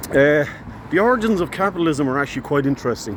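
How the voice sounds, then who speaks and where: A man with an American accent talks at a fairly quick pace with ordinary pitch variation. Noticeable background noise is present. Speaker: social commentary vlogger. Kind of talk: casual educational talk. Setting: outdoors, walking. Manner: hesitant, many fillers.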